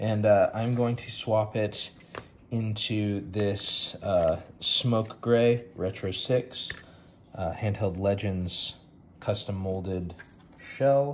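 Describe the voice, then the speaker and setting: A very slow pace over light background noise. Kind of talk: casual vlog chat. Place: home room. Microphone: phone near.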